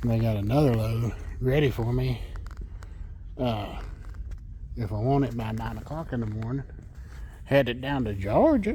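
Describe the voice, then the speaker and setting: This man speaks with an American accent and leaves long, frequent pauses. Audible room echo surrounds his voice. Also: moderate pace. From Texas. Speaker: truck driver vlogger. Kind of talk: casual vlog narration.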